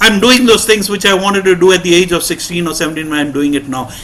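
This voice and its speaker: A man talks in a raised, projected voice with a high pitch. Noticeable background noise sits behind him. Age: 60s. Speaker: recovering alcoholic speaker at support meeting. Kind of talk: testimony.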